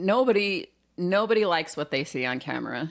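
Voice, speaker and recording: A normal speaking voice with lively intonation and moderate pace, on a very clean recording with a silent background. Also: woman. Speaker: podcast host with radio background. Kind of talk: casual chat.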